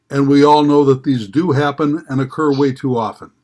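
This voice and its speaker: With an Upper Midwest US accent, a man with a fairly high pitch speaks at a moderate pace. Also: very clean recording, silent background. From northeastern Wisconsin. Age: 70s. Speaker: member of the public giving testimony. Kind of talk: public hearing testimony. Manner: formal.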